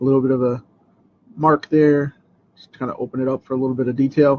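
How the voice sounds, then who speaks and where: Soft-spoken and fairly quick, a man with a fairly high pitch is heard in a dry, close sound with no echo. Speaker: comic artist. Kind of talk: drawing tutorial livestream chat. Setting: home studio. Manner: casual, halting with fillers.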